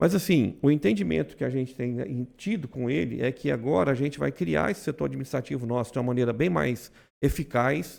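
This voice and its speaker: In a very clean recording with a silent background, a man at a medium pitch talks fairly quickly with hardly any pauses. His pitch swings very widely, and there is vocal fry. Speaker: insurance brokerage owner. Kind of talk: podcast conversation. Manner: loud; fast.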